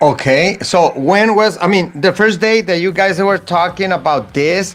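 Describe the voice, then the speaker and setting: A high-pitched man with a Spanish accent, moderate pace and ordinary pitch variation, music in the background. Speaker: motorsport show host. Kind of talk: interview. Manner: halting.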